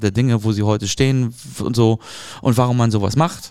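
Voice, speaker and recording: A man with an ordinary speaking voice holds a moderate pace at medium pitch, varying it in an ordinary way. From Hamburg, northern Germany. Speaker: marketing podcast host. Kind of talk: casual chat.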